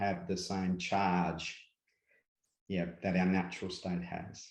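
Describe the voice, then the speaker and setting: In an Australian accent, a man with a very deep, low voice talks very slowly in a room with audible echo. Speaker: spiritual guide, workshop presenter. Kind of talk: interview.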